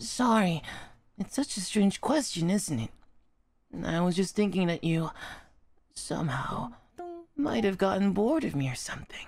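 Using a put-on character voice, a man speaks in a high pitch with long, frequent pauses. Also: moderate pace. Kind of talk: soft romantic ASMR roleplay. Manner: tender, affectionate, wistful.

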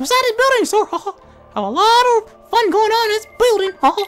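An extremely high put-on character voice moves at a moderate pace over faint background music. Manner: cheerful, inviting.

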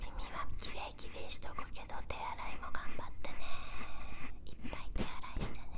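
Loud background noise runs beneath a woman speaking at a moderate pace. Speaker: ASMR creator. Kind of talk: soft ASMR role-play talk. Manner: soft close-mic ASMR whisper. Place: home room. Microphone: handheld.

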